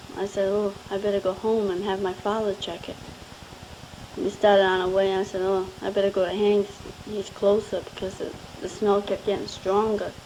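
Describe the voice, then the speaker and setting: A woman's medium-pitched, flat, monotone voice at a moderate pace over noticeable background noise. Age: 20s. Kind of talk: recorded personal voice message to husband. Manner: sweet, affectionate; casual, chatty.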